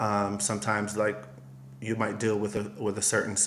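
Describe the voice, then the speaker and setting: A man with an American accent, a normal speaking voice, fairly low pitch and a moderate pace. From US, Miami, Florida. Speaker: costume designer and stylist. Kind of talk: interview.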